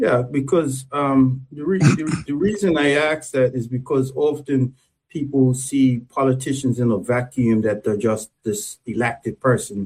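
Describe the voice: At a fairly slow pace, a man of medium pitch speaks with fairly even intonation, a slightly mellow tone and a slightly husky edge.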